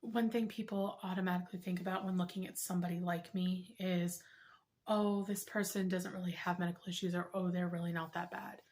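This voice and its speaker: Her intonation monotone and flat, a woman talks at a fairly quick pace in a medium pitch, her voice somewhat breathy. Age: 30s. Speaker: health vlogger. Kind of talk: personal testimony vlog.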